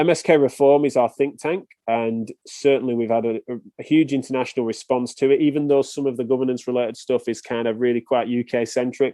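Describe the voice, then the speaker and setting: At a fairly quick pace with hardly any pauses, a man with an English accent talks with fairly even intonation. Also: medium pitch for a man. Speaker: physiotherapist. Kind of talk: podcast interview.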